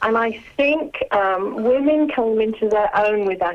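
Her pitch fairly high and ordinary in variation, a woman speaks over noticeable background noise. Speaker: author and former nurse. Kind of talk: casual interview.

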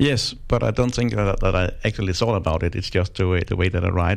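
A fairly quick man's voice with a Danish accent, pitched fairly low. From Denmark. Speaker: crime novelist. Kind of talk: interview. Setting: studio. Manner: halting.

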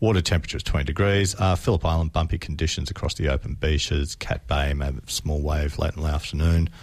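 With an Australian accent and vocal fry, a man talks at a fairly quick pace in a very deep, low voice with ordinary pitch variation. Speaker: radio host. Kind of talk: casual radio chat. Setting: studio.

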